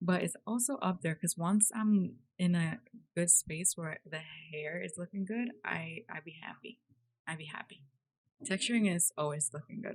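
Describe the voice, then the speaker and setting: A woman's somewhat breathy, fairly low voice at a moderate pace, with lively intonation and big swings in loudness. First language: not English. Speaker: 3D artist YouTuber. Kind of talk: casual chat. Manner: animated.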